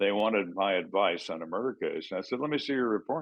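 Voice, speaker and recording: On a very clean recording with a silent background, the intonation is lively. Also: man. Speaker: retired homicide detective. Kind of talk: interview answer. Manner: no-nonsense.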